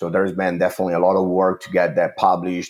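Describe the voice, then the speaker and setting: A man with an Italian accent and a very deep, low pitch. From Italy. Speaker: water treatment chemist. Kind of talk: interview. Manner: hesitant, many fillers.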